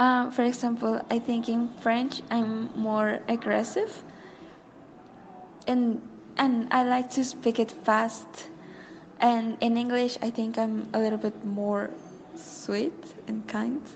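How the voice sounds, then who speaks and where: A woman with a Spanish accent speaks very slowly in a fairly high voice, with fairly even intonation. Her long, frequent pauses sit over noticeable background noise. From Mexico. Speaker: friend guest. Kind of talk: voice message chat. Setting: voice message. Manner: halting.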